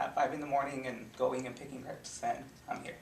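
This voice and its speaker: Noticeable background noise and audible room echo fill this clip. A man speaks at a fairly high pitch. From California, Central Valley. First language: Spanish. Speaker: student intern. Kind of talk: personal testimony. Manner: halting, many fillers.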